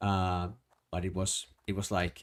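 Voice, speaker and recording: With a strong Finnish accent, a man speaks at a fairly slow pace in a dark, mellow tone and a fairly low pitch. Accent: thick Finnish. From Finland. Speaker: streamer. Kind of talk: casual gaming livestream chat. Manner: halting, many restarts.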